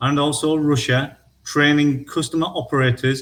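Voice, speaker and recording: In a very clean recording with a silent background, a man with a northern English accent talks in a somewhat breathy voice with fairly even intonation. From northern England. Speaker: equipment product specialist. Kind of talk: product presentation. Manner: halting.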